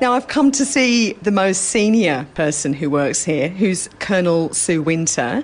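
With music in the background, a woman at medium pitch talks at a fairly slow pace with hardly any pauses. Her pitch swings very widely while her loudness stays very even. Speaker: army podcast reporter. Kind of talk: interview and reporting. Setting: military hospital in Iraq.

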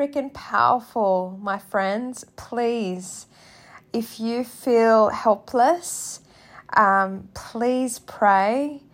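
Speaking at a very slow pace, a woman with an Australian accent has a fairly high pitch and ordinary pitch variation. Her tone is gentle and soothing. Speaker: podcast host. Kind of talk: guided prayer, spoken reflection. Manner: gentle, soothing; slow, calm, tender.

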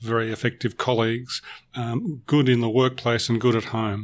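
Over a silent background in a very clean recording, a man with an Australian accent speaks at a fairly quick pace, with medium pitch and fairly even intonation. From Melbourne, Australia. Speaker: corporate trainer. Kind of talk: podcast interview.

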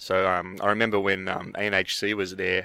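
A man with an Australian accent, fairly low-pitched, with a bright, sharp tone, at a moderate pace, in a very clean recording with a silent background. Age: 30s. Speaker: brewer and anthropology researcher. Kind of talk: casual interview. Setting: outdoors at a conference.

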